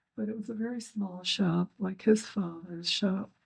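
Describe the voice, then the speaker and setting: The speaker sounds somewhat breathy and moves at a fairly slow pace. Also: woman. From Kalamazoo, Michigan. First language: German. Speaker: second-generation Holocaust survivor. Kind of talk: interview testimony.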